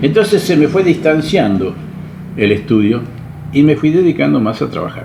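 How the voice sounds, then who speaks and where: Speaking fairly slowly with a Rioplatense accent, a man lets his pitch swing very widely. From Argentina, Buenos Aires. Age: 80s+. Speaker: retired salesman. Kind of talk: interview.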